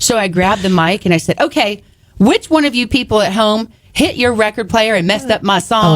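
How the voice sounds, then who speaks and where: A woman's animated voice at a very fast pace. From Texas (small town). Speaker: author and speaker. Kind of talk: casual chat. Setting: radio studio.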